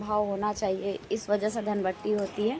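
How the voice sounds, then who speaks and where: Noticeable background noise can be heard while a woman talks. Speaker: family vlogger. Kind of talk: vlog narration.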